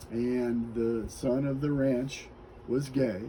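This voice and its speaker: In an American accent, the speaker talks at a very slow pace with monotone, flat intonation and audible room echo. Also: man. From US Midwest, Kansas City suburbs. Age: 60s. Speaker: interviewee sharing life story. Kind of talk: interview, personal life story.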